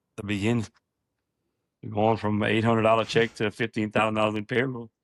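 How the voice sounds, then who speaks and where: In a Louisiana accent, a man talks at a very fast pace with monotone, flat intonation, recorded dry and close with no echo. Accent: country Louisiana. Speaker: septic business owner. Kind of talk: interview conversation. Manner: halting, many fillers.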